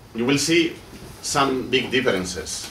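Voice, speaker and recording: Talking from a man amid audible room echo and noticeable background noise. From Basque Country. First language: Basque or Spanish. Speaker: doctoral researcher and political activist. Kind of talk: seminar speech. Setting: seminar with audience. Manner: halting, with repetitions and self-corrections.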